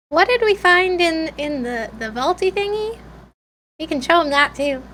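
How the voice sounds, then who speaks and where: An extremely high-pitched, squeaky put-on character voice speaks at a moderate pace. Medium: actual play. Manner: simple, hesitant.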